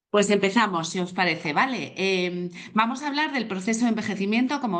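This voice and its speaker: A woman's voice with lively intonation. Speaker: psychologist. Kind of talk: online talk. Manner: fast.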